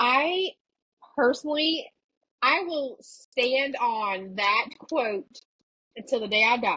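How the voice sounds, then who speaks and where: With an American accent, a woman speaks very slowly in a high pitch that makes very wide swings. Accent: strong Southern country accent when drinking. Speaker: podcast host. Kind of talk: casual chat.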